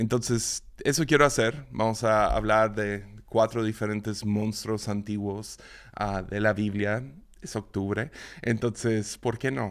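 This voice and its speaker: This is a man talking at a fairly slow pace. The recording is very clean, with a silent background. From Mexico, Mazatlán, Sinaloa. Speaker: podcast host, Bible teacher. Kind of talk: devotional Bible teaching monologue. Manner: halting, many repetitions and fillers.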